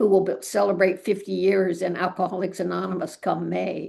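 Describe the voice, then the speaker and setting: A woman's dark, mellow voice with vocal fry, at a moderate pace and with fairly even intonation. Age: 80s+. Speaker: author and recovery lecturer. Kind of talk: casual panel chat. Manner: halting, with many repetitions.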